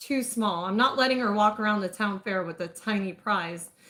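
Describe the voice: Pitch shifts by an ordinary amount. The delivery is plain reading aloud.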